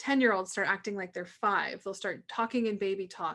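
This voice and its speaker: Speech at a very fast pace, with fairly even intonation over a quiet background. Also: woman. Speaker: naturopathic doctor. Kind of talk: educational talk.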